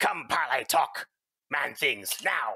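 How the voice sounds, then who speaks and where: A raspy, put-on character voice. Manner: bubbly, cheerful.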